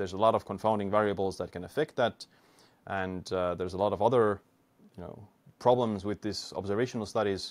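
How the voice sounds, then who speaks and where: Very fast speech in an Estonian accent with fairly even intonation. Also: man, fairly low pitch for a man. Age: 20s. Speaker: biohacker and YouTuber; YouTuber. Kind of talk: interview. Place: home room. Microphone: studio mic.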